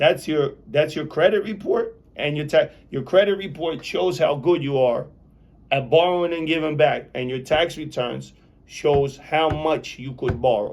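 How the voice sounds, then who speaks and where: A man with an unremarkable speaking voice talks at a fairly high pitch. His pace is fairly slow, with ordinary pitch variation. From Belarus, Soviet Union; immigrated to US at nine. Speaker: real estate developer, formerly incarcerated. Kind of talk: interview.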